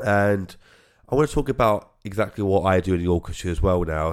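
The recording is very clean with a silent background. A man with a British accent and a very deep, low pitch speaks with fairly even intonation. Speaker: podcast host and orchestra founder. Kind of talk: casual podcast intro. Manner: fast talker, mumbles, repeats himself; halting, stumbles over words.

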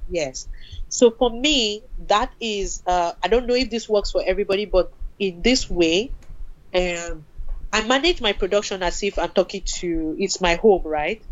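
At a moderate pace, a plain, everyday voice carries lively intonation. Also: woman, medium pitch for a woman. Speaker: film producer. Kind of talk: casual interview conversation.

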